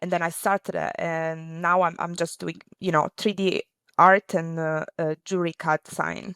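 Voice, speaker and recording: In an Italian accent, a woman with a fairly low pitch speaks at a moderate pace in a monotone, flat intonation, the very clean recording having a silent background and a dry, close sound with no echo. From Italy. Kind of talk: interview. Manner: halting.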